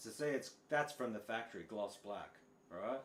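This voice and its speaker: Here a man speaks with a strong Australian accent. His medium pitch carries a lively intonation. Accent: broad Australian. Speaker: guitar teacher. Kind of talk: live stream chat. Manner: casual, halting.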